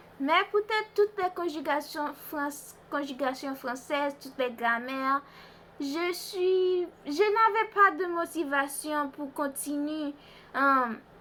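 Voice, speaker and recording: A woman with a high pitch and a bright, sharp tone speaks at a very slow pace in a raised, projected voice with ordinary pitch variation. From Haiti and US (Boston). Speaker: vlogger. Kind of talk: language practice monologue. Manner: halting, hesitant.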